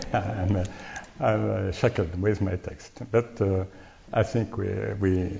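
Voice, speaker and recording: A man with a very deep, low voice and a French accent. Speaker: lecturer on Sufism. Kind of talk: academic lecture reading from paper. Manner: halting with many hesitations.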